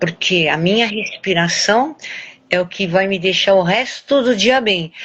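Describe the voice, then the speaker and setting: The speaker talks at a fairly slow pace with ordinary pitch variation. Noticeable background noise is present. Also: woman, medium pitch for a woman. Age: 70s. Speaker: weight-loss program student, journalist. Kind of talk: interview testimony. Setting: recorded live stream.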